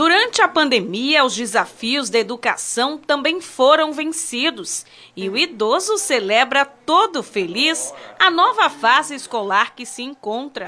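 A woman speaks in a high pitch with a raised, projected voice at a fairly slow pace. Her pitch swings very widely and her loudness rises and falls sharply. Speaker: TV reporter. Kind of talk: TV news report narration.

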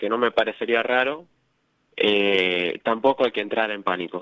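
A man with a Rioplatense accent, medium pitch, ordinary pitch variation and a fairly slow pace. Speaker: radio co-host. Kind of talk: radio sports talk show.

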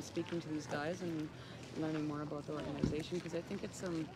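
A woman speaks over noticeable background noise, in a dry recording with no echo. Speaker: interviewee. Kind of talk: interview answer. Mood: friendly, relaxed. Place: street. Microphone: phone near.

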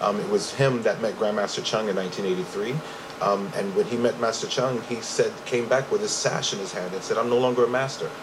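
A man with an American accent at a fairly quick pace, fairly even in intonation, over noticeable background noise. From Brooklyn, New York; New York. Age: 40s. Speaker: martial arts instructor. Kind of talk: interview. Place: studio. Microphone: studio mic.

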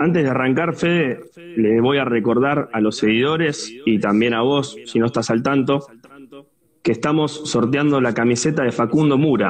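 A man talks at a moderate pace with very even loudness. His pitch varies in an ordinary way, over light background noise. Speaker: interview host. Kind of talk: live stream interview intro. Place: home room. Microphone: earbuds.

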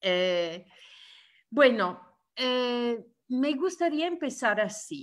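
A woman with an Italian accent, high-pitched, at a very slow pace with very wide pitch swings. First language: Italian (speaking Spanish). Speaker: trade union leader. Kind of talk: webinar talk. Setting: video call. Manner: halting, many hesitations.

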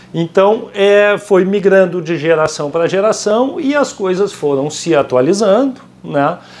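Fairly slow yet with hardly any pauses, a man speaks at a high pitch with lively intonation. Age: 50s. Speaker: currency exchange company founder; guest. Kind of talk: casual interview. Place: office. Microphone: lapel.

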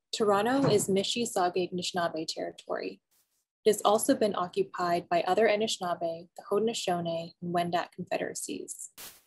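A somewhat breathy woman at a fairly quick pace, with big swings in loudness. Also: ordinary pitch variation. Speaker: museum program host. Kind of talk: online program introduction. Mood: warm, calm, welcoming. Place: home room. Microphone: webcam.

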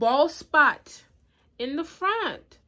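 This woman's voice moves in very wide pitch swings. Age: 20s. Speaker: beauty YouTuber. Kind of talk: casual hair review to camera. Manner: casual, chatty. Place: home room. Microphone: phone near.

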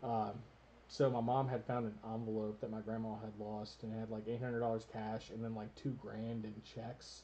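Over light background noise, the voice has a dark, mellow tone and monotone, flat intonation. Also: man, medium pitch for a man, moderate pace. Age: 30s. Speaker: gaming channel host. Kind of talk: casual chat. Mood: relaxed, candid. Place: home room. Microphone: studio mic.

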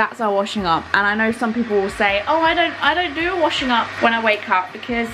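A woman talks at a fairly quick pace. Noticeable background noise runs behind her. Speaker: vlogger. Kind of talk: casual vlog chat. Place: kitchen. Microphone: phone near.

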